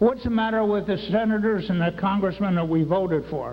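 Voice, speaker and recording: A high-pitched man's voice with ordinary pitch variation, plus audible room echo and noticeable background noise. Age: 70s. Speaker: retired military veteran speaking at a public meeting. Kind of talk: public comment at a town hall. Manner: halting, repeats words; agitated, worked up.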